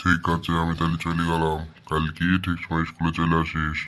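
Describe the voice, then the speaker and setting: A man's cartoonish character voice, very deep and low, monotone and flat, at a moderate pace with very even loudness. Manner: scolding, authoritative.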